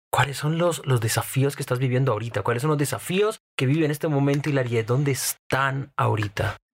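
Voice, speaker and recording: Somewhat breathy and fairly high-pitched, a man talks with very even loudness. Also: ordinary pitch variation, hardly any pauses. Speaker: podcast co-host. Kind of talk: interview.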